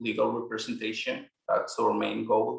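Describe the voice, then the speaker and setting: Speaking in a Mexican accent, a man delivers his words. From Mexico. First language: Spanish. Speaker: immigration paralegal. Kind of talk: interview. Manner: halting, repeats words.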